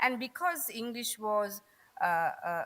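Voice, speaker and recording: Here, a woman speaks in a Sri Lankan accent. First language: Tamil. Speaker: conference speaker on accents. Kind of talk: conference talk.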